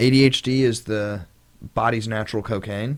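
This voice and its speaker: A loud man's voice. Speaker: podcast co-host. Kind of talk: casual chat. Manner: fast.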